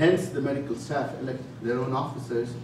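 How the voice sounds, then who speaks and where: A man talks at a medium pitch. Audible room echo surrounds his voice. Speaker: physician. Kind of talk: lecture. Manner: fast.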